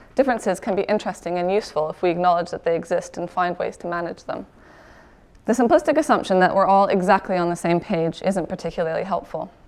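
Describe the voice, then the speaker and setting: A woman's medium-pitched voice with lively intonation at a very fast pace. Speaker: PhD candidate, conservation researcher. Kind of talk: short conference talk.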